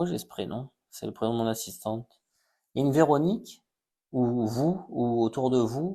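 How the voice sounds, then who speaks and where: Over a quiet background, a man with a dark, mellow tone speaks at medium pitch and a fairly slow pace, with lively intonation. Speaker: psychic medium. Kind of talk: live stream reading. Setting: live stream on social media.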